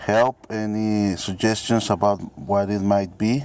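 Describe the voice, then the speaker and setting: A man speaks with a Mexican accent. His pace is very slow. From Mexico. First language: Spanish. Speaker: car owner seeking help. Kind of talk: amateur video demonstration. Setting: at a car, engine bay. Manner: halting, many fillers.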